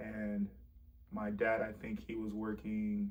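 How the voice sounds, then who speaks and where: Ordinary pitch variation from a man with an American accent and a fairly low pitch. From South Florida, Broward County. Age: 20s. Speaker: testimony speaker. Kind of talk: testimony. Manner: halting, with fillers and repeats.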